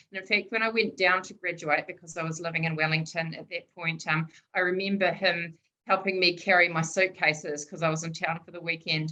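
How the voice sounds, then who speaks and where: Her loudness swinging widely, a woman speaks at a fairly quick pace and a fairly low pitch with monotone, flat intonation. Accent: Southland New Zealand. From New Zealand, Southland. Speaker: public servant and sociologist. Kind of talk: seminar talk. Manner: informal, hesitant with fillers.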